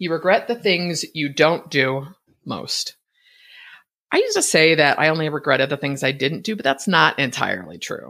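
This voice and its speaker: A woman speaks with an American accent in a very deep, low pitch and a bright, sharp tone. The recording is very clean, with a silent background. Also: ordinary pitch variation, moderate pace. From US West Coast (Bay Area, California). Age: 50s. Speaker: podcast host, online business coach. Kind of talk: solo podcast monologue. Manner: mumbling.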